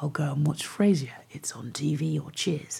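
With vocal fry and a dark, mellow tone, a woman speaks at a moderate pace in a very deep, low pitch. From England, West Country (Devon). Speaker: musician and radio DJ. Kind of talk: interview.

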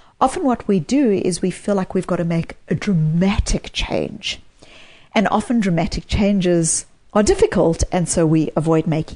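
With a South African accent, a woman speaks at a moderate pace in a dark, mellow, somewhat breathy tone. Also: medium pitch for a woman, ordinary pitch variation. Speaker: psychologist and author. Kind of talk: interview.

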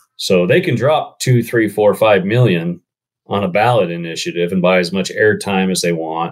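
A man's normal speaking voice, fairly low in pitch, with ordinary pitch variation and a moderate pace. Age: 40s. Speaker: conservation group marketing executive. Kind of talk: casual interview.

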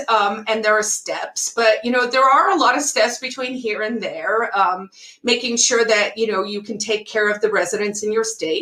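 Noticeable background noise runs under this recording. A woman speaks at a fairly high pitch. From South Africa. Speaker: writer and political activist. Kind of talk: casual interview conversation.

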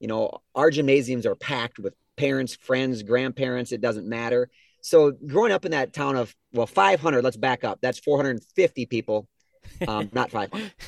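This man has a medium-pitched voice and an Upper Midwest accent. The sound is dry and close, with no echo. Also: ordinary pitch variation, moderate pace. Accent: Upper Midwest (Minnesota). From southern Minnesota. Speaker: appliance store co-owner. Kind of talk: casual interview.

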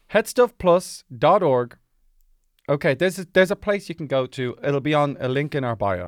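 A man with an Irish accent speaks at a moderate pace and fairly high pitch, with very wide pitch swings, in a dry, close, echo-free recording with a very clean, silent background. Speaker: podcast host. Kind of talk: casual comedic chat.

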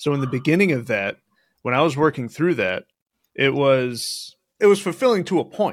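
A man's unremarkable speaking voice, fairly high-pitched, at a moderate pace and full of lively intonation. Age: 30s. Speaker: real estate investor. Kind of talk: casual chat.

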